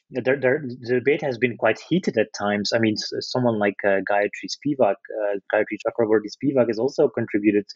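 A man speaks with a Dutch accent. His pace is fairly quick. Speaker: literature lecturer. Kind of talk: interview. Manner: halting.

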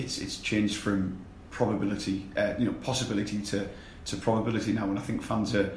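A man talks at a fairly low pitch with little pitch movement and few pauses. Room echo is audible.

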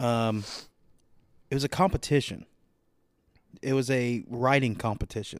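On a very clean recording with a silent background, someone with an American accent speaks at a moderate pace with ordinary pitch variation and long, frequent pauses. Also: man, medium pitch for a man. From Southern Ohio, US Midwest. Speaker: podcast co-host and amateur comedian. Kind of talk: casual chat. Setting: studio. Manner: profane.

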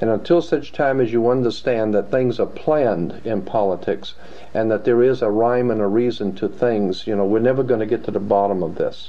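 At a fairly quick pace, a man speaks at a medium pitch in a normal speaking voice. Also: ordinary pitch variation. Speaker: guest researcher on secret societies. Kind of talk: interview.

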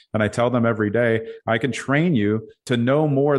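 Against a quiet background, a man with an American accent talks at a fairly quick pace in medium pitch, an ordinary speaking voice. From Brooklyn, New York. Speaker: real estate team leader. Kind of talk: interview.

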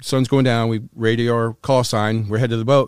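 A man's medium-pitched voice with an American accent, recorded dry and close with no echo. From North Carolina. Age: 60s. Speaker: former smuggler. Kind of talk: interview storytelling. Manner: casual, profane.

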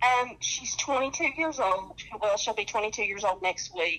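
A woman with a slight Southern US accent. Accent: slight Southern twang. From North Carolina. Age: 40s. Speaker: dialysis patient. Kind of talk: personal testimony.

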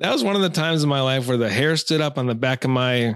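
A man with an American accent and an unremarkable speaking voice, ordinary pitch variation and moderate pace, in a very clean recording with a silent background. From Minnesota, Taylor's Falls. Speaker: fly fishing angler. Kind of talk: casual chat.

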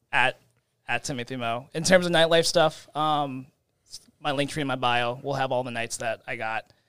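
This man has a bright, sharp tone and a medium pitch. His intonation stays fairly even at a moderate pace. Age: 20s. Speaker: nightlife photographer. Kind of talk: casual chat.

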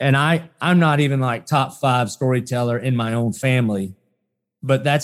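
A man with a Southern US accent speaks at a medium pitch and moderate pace with ordinary pitch variation, in a very clean recording with a silent background. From US South. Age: 40s. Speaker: pastor. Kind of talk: interview.

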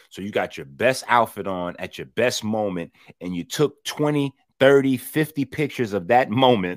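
A man speaks in a normal speaking voice at a medium pitch and moderate pace, with lively intonation. The sound is dry and close with no echo, and his loudness swings widely. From US Northeast, New York City (the Bronx). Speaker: health and fitness expert. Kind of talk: casual chat.

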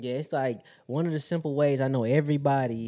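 Over a silent background in a very clean recording, a man with a dark, mellow tone and medium pitch speaks at a moderate pace with ordinary pitch variation. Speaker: podcast co-host. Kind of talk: casual chat.

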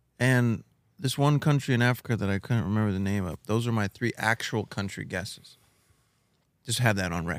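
This man has an ordinary speaking voice, pitched fairly low. He talks at a fairly quick pace with ordinary pitch variation. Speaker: podcast co-host and game contestant. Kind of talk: casual banter, game show style. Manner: playful, repeats phrases, joking.

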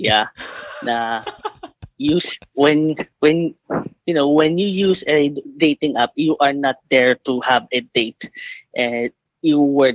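A man's fairly high voice with a Filipino accent, ordinary pitch variation, a very slow pace, long, frequent pauses, and a dry, close sound with no echo. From Philippines. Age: 20s. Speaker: caller. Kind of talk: advice call-in.

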